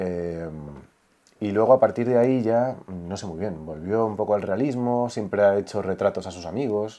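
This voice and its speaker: Dark, mellow tone with big swings in loudness, ordinary pitch variation and a quiet background. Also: man, fairly low pitch for a man, moderate pace. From Spain. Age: 30s. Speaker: son of a late artist; interview guest. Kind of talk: casual interview chat. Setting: his home. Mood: calm, reflective. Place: home room. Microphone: lapel.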